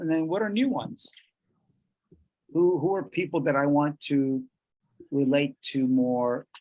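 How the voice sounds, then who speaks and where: Speaking with a Spanish accent, a man uses a fairly high pitch, ordinary pitch variation and a fairly slow pace. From Colombia (Bogotá). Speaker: workshop presenter. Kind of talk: bilingual workshop lecture. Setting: video call.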